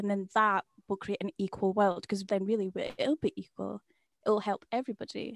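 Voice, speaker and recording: A woman with a Scottish accent speaks at a medium pitch and moderate pace, with fairly even intonation. The sound is dry and close with no echo, on a very clean recording with a silent background. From Scotland. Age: 20s. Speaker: podcast co-host. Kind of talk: interview.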